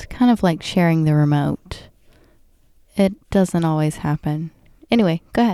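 A woman speaks quietly at a moderate pace with long, frequent pauses, her fairly low voice dark and mellow in tone, in a dry, close sound with no echo. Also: ordinary pitch variation. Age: 30s. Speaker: guest co-host. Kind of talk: casual chat.

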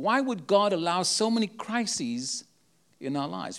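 At a moderate pace, this voice carries a South African accent on a very clean recording with a silent background. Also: man. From South Africa, Cape Town. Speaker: travelling prophetic minister. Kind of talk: sermon. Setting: church with live audience.

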